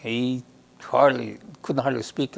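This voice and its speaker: Over a quiet background, a man with a Lakota accent speaks at a medium pitch. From Lakota First Nation, Saskatchewan, Canada. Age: 70s. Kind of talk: personal storytelling interview. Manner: halting.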